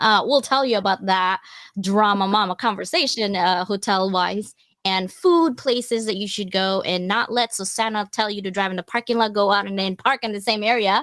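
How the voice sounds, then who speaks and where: The speaker has an animated tone and a moderate pace, with ordinary pitch variation. The sound is dry and close, with no echo. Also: woman, medium pitch for a woman. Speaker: live show host. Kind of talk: casual live stream chat. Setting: online live stream. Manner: loud.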